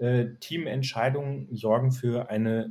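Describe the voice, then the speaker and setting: A man's somewhat breathy, dark, mellow voice at medium pitch, very slow in pace, with fairly even intonation. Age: 40s. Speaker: HR manager in retail. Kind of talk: interview. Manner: frequent filler hesitations.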